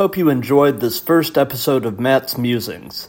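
With an unremarkable speaking voice, a man talks in a fairly high register, moving at a moderate pace and varying his pitch in an ordinary way. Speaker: podcast host. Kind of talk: casual interview.

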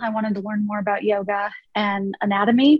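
This woman's voice is fairly high and somewhat breathy, and she moves at a moderate pace. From US Midwest (small-town Ohio). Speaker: nonprofit executive. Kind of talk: interview conversation.

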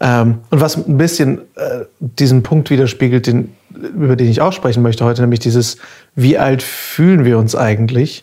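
A man's dark, mellow, somewhat breathy voice at medium pitch, with very even loudness, ordinary pitch variation and a moderate pace. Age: 30s. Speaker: podcast host, voice actor and artist. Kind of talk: casual chat; podcast intro.

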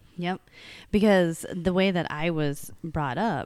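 In a very clean recording with a silent background, a woman speaks at a very slow pace with fairly even intonation. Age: 30s. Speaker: jiu-jitsu coach. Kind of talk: casual chat.

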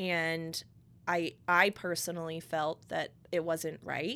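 A woman with an American accent speaks in a fairly low, monotone voice with flat intonation at a fairly slow pace. The recording is very clean, with a silent background. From Connecticut. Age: 20s. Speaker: podcast host, salon owner. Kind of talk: casual chat. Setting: studio.

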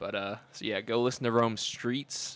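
A man talks at a moderate pace with an American accent. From Cleveland, Ohio. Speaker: college student podcast co-host. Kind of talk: casual chat.

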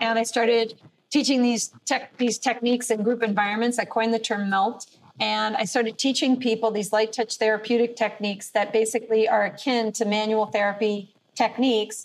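A woman with a normal speaking voice, fairly high pitch, fairly quick pace, fairly even intonation and very even loudness. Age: 50s. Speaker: fitness instructor. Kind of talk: interview.

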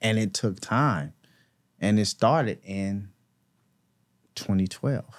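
Speaking very slowly with long, frequent pauses, a man uses a fairly low pitch and ordinary pitch variation on a very clean recording with a silent background. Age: 40s. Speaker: former prisoner turned youth mentor. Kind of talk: casual interview, life story.

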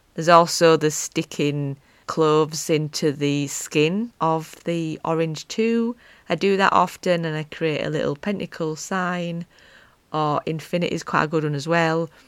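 With a strong Yorkshire accent, a woman whose pitch is very deep and low talks at a fairly slow pace on a very clean recording with a silent background. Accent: strong Wakefield. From northern England, Wakefield. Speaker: podcast host, pagan witch. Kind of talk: casual chat monologue. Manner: animated.

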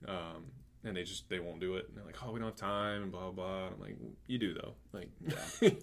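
The speaker talks at a fairly quick pace with ordinary pitch variation and big swings in loudness, with audible room echo. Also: man, very deep, low pitch for a man. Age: 20s. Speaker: podcast host and athletic trainer. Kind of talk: casual interview chat.

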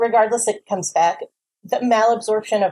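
This woman speaks with a New Jersey accent and a dark, mellow tone. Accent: New Jersey American. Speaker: weight loss surgery patient. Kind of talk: explanatory testimony.

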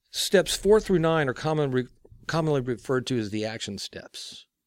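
This man's pitch swings very widely at a moderate pace. The recording is very clean, with a silent background. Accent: American. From Texas. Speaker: recovery ministry guest, recovering alcoholic. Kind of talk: interview on faith and twelve-step recovery.

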